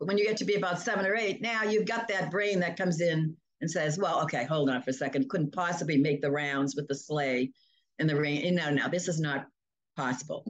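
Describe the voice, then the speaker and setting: A woman with a fairly low pitch talks at a fairly quick pace. Her intonation is lively. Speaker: hypnotherapist. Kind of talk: interview. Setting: video call. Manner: animated.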